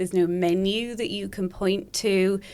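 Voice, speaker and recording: Very clean recording, silent background, and a woman's medium-pitched voice with a slight Welsh accent and ordinary pitch variation. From Wales. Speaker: speech pathologist. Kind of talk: podcast interview.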